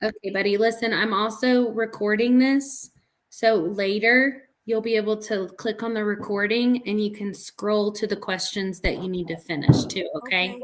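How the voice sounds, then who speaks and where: A woman with an unremarkable speaking voice talks at a moderate pace with hardly any pauses, her fairly high pitch held in fairly even intonation. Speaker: math teacher. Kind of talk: online class review lesson.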